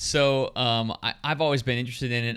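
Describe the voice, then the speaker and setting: The recording is very clean, and the background is silent. The delivery keeps a moderate pace. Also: man. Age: 40s. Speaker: amateur bike racer, podcast co-host. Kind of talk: casual chat.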